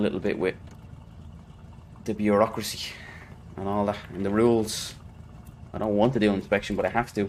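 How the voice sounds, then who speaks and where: A man speaks with an Irish accent at a fairly quick pace. His pitch is fairly low and his intonation is monotone and flat. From Ireland. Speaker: video game streamer. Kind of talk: live gameplay commentary. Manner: casual, rambling.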